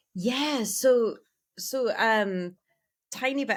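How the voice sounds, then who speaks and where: A woman speaks with lively intonation in a very clean recording with a silent background. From United States. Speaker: yoga teacher. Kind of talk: casual interview chat. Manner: animated.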